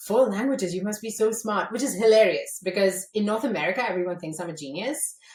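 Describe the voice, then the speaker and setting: With noticeable background noise, a woman speaks at a medium pitch with ordinary pitch variation. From India, Mumbai. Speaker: entrepreneur, former journalist. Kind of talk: podcast interview. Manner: animated.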